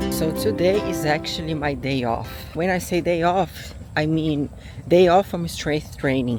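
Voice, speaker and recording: Very deep, low pitch from a woman, delivered at a fairly slow pace. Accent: non-native. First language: not English. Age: 40s. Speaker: lifestyle vlogger. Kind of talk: casual vlog talk to camera. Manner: halting, with fillers.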